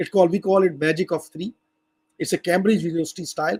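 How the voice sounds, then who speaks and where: Speaking very fast with a non-native accent, a man with a high-pitched voice is heard in a dry, close sound with no echo. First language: not English. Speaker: language educator. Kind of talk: lecture. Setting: video call. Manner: halting.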